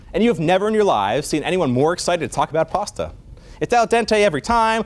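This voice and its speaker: A man talks loudly at a very fast pace. His tone is animated and his intonation lively. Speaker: physician lecturer. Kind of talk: lecture. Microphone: no microphone, projecting voice.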